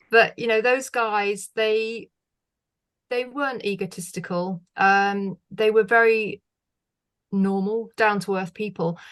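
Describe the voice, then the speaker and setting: With a British accent, a woman speaks very slowly at a fairly high pitch, her intonation fairly even against a quiet background. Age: 60s. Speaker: former music TV presenter. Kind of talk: podcast interview. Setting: video call.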